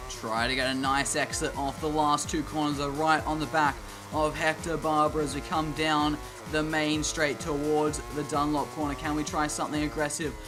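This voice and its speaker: Music plays behind a man with an Australian accent whose fairly high voice stays monotone and flat. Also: moderate pace. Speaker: gaming YouTuber. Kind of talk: gameplay commentary.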